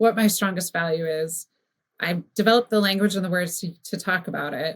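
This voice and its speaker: This woman talks at a very fast pace, with a somewhat breathy sound. Her pitch sits in the medium range and varies in an ordinary way. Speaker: brand strategist. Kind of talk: podcast interview conversation. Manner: animated.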